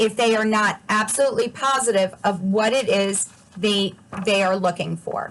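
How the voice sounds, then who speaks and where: This woman has a normal speaking voice, set at a fairly high pitch with ordinary pitch variation, and she speaks at a fairly slow pace. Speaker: adult education instructor and presenter. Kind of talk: presentation.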